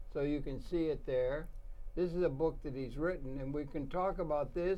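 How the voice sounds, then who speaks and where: Audible room echo surrounds a man whose fairly high voice shows ordinary pitch variation. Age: 80s+. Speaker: talk show host. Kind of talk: interview. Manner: halting.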